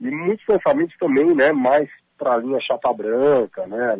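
A man with a plain, everyday voice talks at a moderate pace with ordinary pitch variation, in a dry, close sound with no echo. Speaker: author and journalist. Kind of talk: interview. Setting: phone call.

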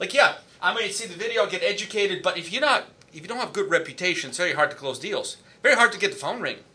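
Raised and projected, a man's voice races at a very fast pace with a high pitch, lively intonation and big swings in loudness. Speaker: podcast host. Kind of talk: live interview chat. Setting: Facebook Live video call.

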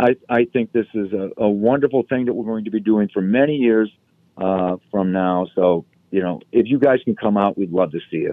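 A man speaks in an unremarkable speaking voice with an American accent. His pitch is fairly low, with ordinary pitch variation at a moderate pace. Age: 60s. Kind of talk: casual interview.

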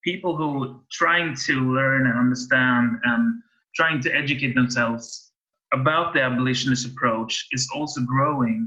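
With a Swedish accent, a man speaks at a moderate pace at a medium pitch, with ordinary pitch variation. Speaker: podcast host. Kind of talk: interview. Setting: video call. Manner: halting.

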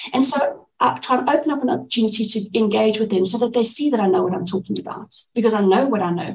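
A woman's fairly high, somewhat breathy voice with a dark, mellow tone, lively intonation and a fairly quick pace. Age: 40s. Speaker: neurophysiologist. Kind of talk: interview.

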